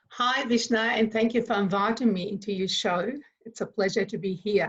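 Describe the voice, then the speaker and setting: A woman speaks at a moderate pace in a fairly high, somewhat breathy voice. Her intonation stays fairly even. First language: not English. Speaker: consciousness facilitator. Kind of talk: interview. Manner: hesitant, many fillers.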